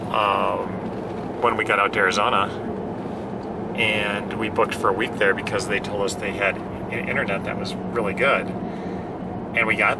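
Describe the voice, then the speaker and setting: A man at a moderate pace, with loud noise in the background. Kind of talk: casual vlog chat. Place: car. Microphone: camera far.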